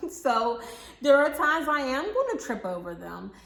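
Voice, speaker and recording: This woman talks with audible room echo and noticeable background noise in the recording. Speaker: pharmacy professor and YouTuber. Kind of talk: casual vlog Q&A. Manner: conversational, many fillers.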